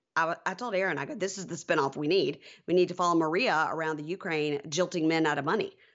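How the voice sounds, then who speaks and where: A woman talks very fast in an American accent, her pitch fairly low with ordinary variation. Her delivery races along throughout. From US South, Mississippi. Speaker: podcast host. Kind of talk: casual chat.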